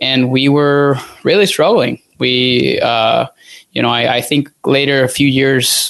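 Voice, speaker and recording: With a Spanish accent, a man speaks at a medium pitch with fairly even intonation. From Venezuela. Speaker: dietitian. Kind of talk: casual chat. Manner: halting.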